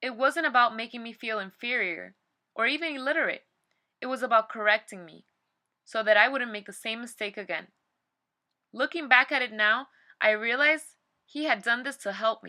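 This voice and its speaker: Bright and sharp in tone, this voice has a Spanish accent, a moderate pace, ordinary pitch variation, big swings in loudness, and long, frequent pauses. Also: woman, fairly high pitch for a woman. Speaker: personal essayist. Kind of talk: reading aloud.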